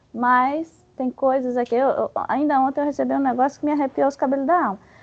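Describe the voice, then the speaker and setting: This woman speaks with a Bahian accent. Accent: Bahian Brazilian Portuguese. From Bahia, Brazil. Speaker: spiritist study presenter. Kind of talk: lecture. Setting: spiritist center meeting with audience. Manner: halting; animated.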